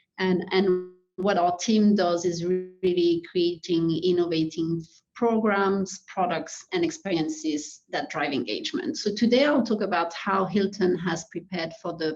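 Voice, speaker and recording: A woman with a French accent speaks at a fairly slow pace, her medium pitch rising and falling with ordinary variation. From France. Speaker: hospitality executive. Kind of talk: webinar presentation. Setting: webinar.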